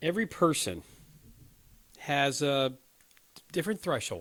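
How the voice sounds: This man uses a put-on character voice with a fairly bright tone and fairly high pitch. He moves at a fairly slow pace with big pitch swings.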